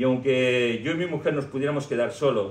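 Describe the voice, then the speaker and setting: In a room with audible echo, a somewhat breathy man speaks at a fairly slow pace, his medium-pitched voice showing ordinary pitch variation. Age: 60s. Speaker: pastor. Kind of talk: sermon.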